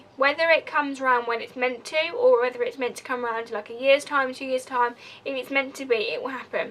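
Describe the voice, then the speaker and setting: Over noticeable background noise, a woman with a high pitch talks at a very fast pace with fairly even intonation. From Essex, England, moved elsewhere at nine. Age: 20s. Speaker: vlogger. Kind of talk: personal confessional vlog. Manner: casual, rambling.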